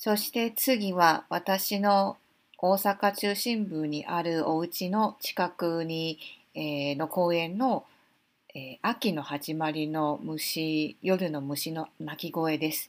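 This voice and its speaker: A woman with a fairly low pitch and ordinary pitch variation at a very slow pace, on a very clean recording with a silent background. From Taiwan, Taipei. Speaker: podcast host. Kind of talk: unscripted monologue. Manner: halting, many fillers.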